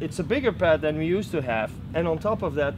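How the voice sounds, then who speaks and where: A man with a Belgian accent speaks fairly quickly with lively intonation. Noticeable background noise sits behind him. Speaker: product demonstrator. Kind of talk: product demo. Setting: trade fair.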